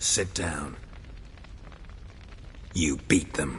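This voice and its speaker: A man does a put-on character voice with a very deep, low pitch. Clear background noise runs underneath. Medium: video game. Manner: terse, flat.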